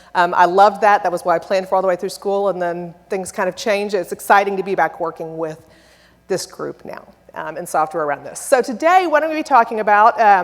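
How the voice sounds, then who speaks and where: Loud and delivered at a very fast pace, this voice has lively intonation and an American accent. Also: woman, medium pitch for a woman. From Texas. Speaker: software company presenter. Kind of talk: conference presentation. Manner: animated.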